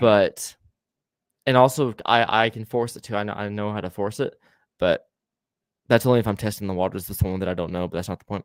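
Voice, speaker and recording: A man with an American accent at a very fast pace, with long, frequent pauses, fairly low in pitch, in a dry, close sound with no echo and a very clean recording with a silent background. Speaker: paranormal podcast co-host. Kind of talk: casual chat. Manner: animated.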